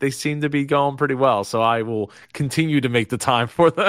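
With a Philadelphia accent, a man speaks at a fairly high pitch and a fairly quick pace, his tone animated, bright and sharp. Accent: Philadelphia-area American. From US Northeast (South Jersey, Philadelphia area). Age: 30s. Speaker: business strategist, interview host. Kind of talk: casual interview.

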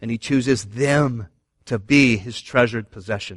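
A normal speaking voice with an American accent, at a moderate pace and fairly even intonation, dry and close with no echo against a quiet background. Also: man. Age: 40s. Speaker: pastor. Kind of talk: sermon.

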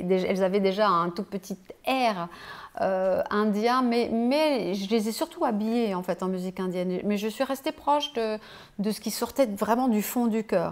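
A woman's ordinary speaking voice, fairly high in pitch with ordinary pitch variation, at a fairly slow pace. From Switzerland. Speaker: flautist and bandleader. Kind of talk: casual interview. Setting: host's home, on a sofa.

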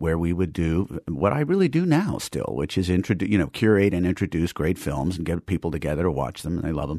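A man's very deep, low voice with a dark, mellow tone and vocal fry, in an American accent at a very fast pace, with a dry, close sound and no echo. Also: ordinary pitch variation. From New York City, Manhattan. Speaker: movie theater restorer and film curator. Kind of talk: interview.

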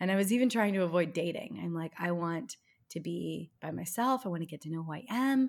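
At a fairly quick pace, a woman talks in an ordinary speaking voice with a fairly low pitch and lively intonation. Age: 30s. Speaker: relationship coach and podcast host. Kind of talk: casual interview.

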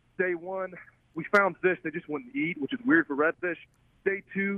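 A man with a Southern US accent talks at a high pitch and a fairly quick pace. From Alabama. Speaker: film director and fly angler. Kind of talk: casual interview.

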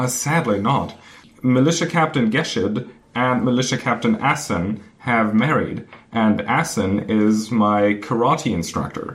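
Delivered at a fairly slow pace, a man's medium-pitched voice holds very even loudness and ordinary pitch variation. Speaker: podcast co-host. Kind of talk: casual chat. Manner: halting, rambling.

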